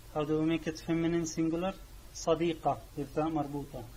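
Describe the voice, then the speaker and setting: A man speaks with a Syrian accent at a fairly high pitch. His delivery is monotone and flat at a moderate pace. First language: Arabic. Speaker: language teacher. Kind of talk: tutorial. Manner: halting.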